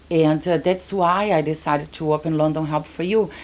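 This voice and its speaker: A woman with a Brazilian accent speaks at a moderate pace in a very deep, low pitch. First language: Portuguese. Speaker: business owner. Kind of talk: interview.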